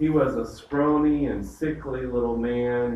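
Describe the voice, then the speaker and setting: A man speaks with a Southern US accent at a fairly slow pace. Room echo is audible. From US South. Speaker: pastor leading Bible study. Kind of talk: Bible study lecture. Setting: church group with live audience.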